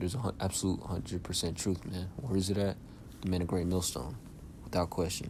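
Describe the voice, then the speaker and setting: Very fast and somewhat breathy, a man speaks in a very deep, low voice with a dark, mellow tone and fairly even intonation. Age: young. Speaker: religious teacher. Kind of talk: bible lesson. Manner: halting.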